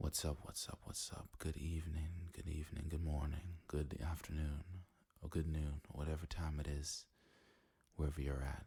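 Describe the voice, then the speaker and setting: Soft-spoken and somewhat breathy, a man talks in a relaxed tone with a very deep, low pitch, a dark, mellow tone and monotone, flat intonation. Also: moderate pace. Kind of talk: casual talk to camera. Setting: home recording setup. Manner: soft-spoken, relaxed, rambling.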